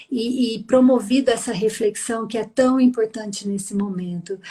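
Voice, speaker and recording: A woman talks fairly slowly with a fairly high pitch. Her delivery stays monotone and flat. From Minas Gerais, Brazil. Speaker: psychologist. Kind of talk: live stream interview.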